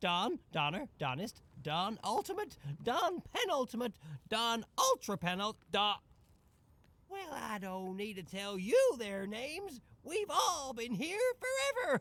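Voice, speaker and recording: Putting on a character voice, a man speaks at a fairly slow pace in an extremely high pitch with very wide pitch swings. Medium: video game. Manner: chuckling, folksy.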